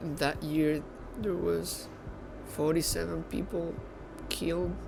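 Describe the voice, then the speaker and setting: Speaking very slowly with a Venezuelan accent, a man with a fairly high voice is heard amid noticeable background noise and audible room echo. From Venezuela, Caracas. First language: Spanish. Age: 20s. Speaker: baker. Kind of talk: documentary interview. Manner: halting, repeats words.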